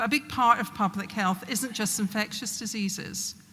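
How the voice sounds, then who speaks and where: Spoken at a moderate pace in a Glasgow accent, the voice keeps a fairly even intonation. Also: woman. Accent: broad Glasgow. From Scotland, Glasgow. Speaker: public health official. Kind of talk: speech.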